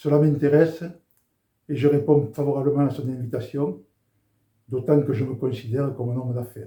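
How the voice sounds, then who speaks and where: A man's fairly high, dark, mellow, somewhat breathy voice at a fairly quick pace, with fairly even intonation and long, frequent pauses. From southern France, Béziers. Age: 70s. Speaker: former rugby international giving faith testimony. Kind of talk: testimony.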